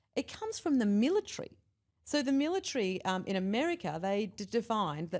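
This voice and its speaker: On a very clean recording with a silent background, a woman with an Australian accent speaks fairly quickly at a fairly high pitch, her voice making very wide pitch swings. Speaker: behavioural scientist and leadership expert. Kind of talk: casual interview chat.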